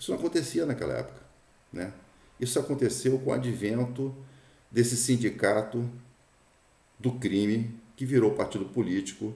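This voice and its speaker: A man speaks at medium pitch and a moderate pace, with long, frequent pauses. His dark, mellow tone is somewhat breathy and has ordinary pitch variation. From Brazil. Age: 60s. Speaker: political commentator. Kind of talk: opinion monologue. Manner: halting, frequent fillers and repetitions.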